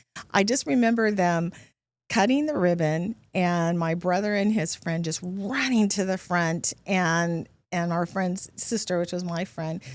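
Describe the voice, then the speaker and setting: Fairly low in pitch, a woman talks in an ordinary speaking voice at a fairly slow pace with ordinary pitch variation. The recording is very clean, with a silent background. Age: 60s. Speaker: guest sharing personal memories. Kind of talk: casual interview.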